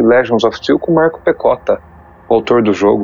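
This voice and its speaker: A man's voice with ordinary pitch variation, against noticeable background noise. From Brazil, São Paulo state and Poços de Caldas, Minas Gerais. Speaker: YouTuber documenting tabletop RPG history. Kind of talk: casual interview. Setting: online call recorded on Discord. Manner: halting, many repetitions and fillers.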